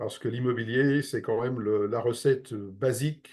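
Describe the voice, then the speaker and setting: At a moderate pace and with fairly even intonation, an unremarkable speaking voice talks over a quiet background. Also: man. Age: 60s. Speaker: real estate investment advisor. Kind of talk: interview.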